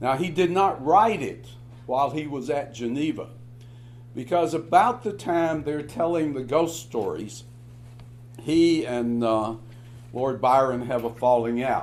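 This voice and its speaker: Speech comes at a fairly slow pace with long, frequent pauses and ordinary pitch variation, set in audible room echo. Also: man, medium pitch for a man. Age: 70s. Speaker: professor. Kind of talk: lecture. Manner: halting, many filler words.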